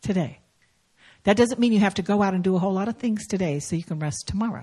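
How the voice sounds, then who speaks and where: Her voice has a dark, mellow tone, somewhat breathy, at a medium pitch for a woman with lively intonation. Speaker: guest preacher. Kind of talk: sermon. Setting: church.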